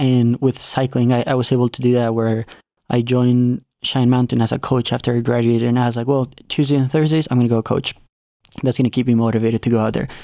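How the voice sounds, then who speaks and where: A man talks at a very fast pace with a Spanish accent and a dark, mellow tone. His medium-pitched voice has monotone, flat intonation. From Mexico. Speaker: cycling coach and racer. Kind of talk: interview conversation. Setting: studio. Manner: talkative.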